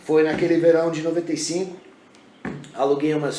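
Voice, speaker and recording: A man's fairly high, monotone, flat voice amid noticeable background noise and audible room echo. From Brazil (Brasília) and US (Oklahoma), bilingual upbringing. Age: 40s. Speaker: MMA fighter and police special operations trainer. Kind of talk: podcast interview. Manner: halting with frequent repetitions.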